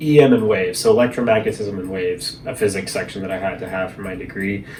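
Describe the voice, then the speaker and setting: Noticeable background noise sits behind a man whose fairly low voice shows ordinary pitch variation. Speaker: vlogger. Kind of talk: casual monologue vlog. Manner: fast.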